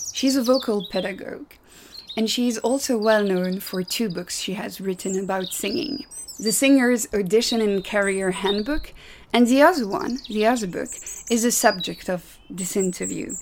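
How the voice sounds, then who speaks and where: A woman's fairly high voice in a Belgian accent, moderate pace and ordinary pitch variation, over noticeable background noise. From Belgium. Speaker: podcast host. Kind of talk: interview.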